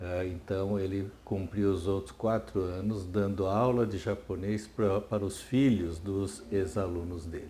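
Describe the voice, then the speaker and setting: Fairly slow and somewhat breathy, a man talks at a fairly low pitch with fairly even intonation and hardly any pauses. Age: 70s. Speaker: retired psychiatry professor. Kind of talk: oral history interview. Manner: hesitant, many fillers and repetitions.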